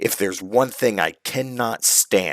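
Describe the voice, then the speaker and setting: Growling in a put-on character voice, a man with a medium pitch speaks at a fairly slow pace with ordinary pitch variation, the sound dry and close with no echo. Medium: read story. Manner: terse, stern.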